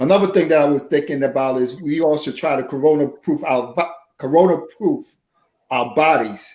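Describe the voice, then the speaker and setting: A man's voice, fairly high in pitch, comes in a normal speaking voice at a moderate pace with ordinary pitch variation. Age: 60s. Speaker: nurse and poet. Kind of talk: casual chat.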